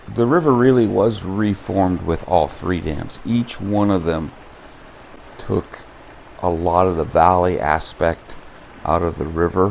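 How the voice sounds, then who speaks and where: Over noticeable background noise, a man with an American accent and a very deep, low voice talks at a fairly slow pace with ordinary pitch variation and long, frequent pauses. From US Pacific Northwest, southwest Washington. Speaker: local resident interviewee. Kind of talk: documentary interview.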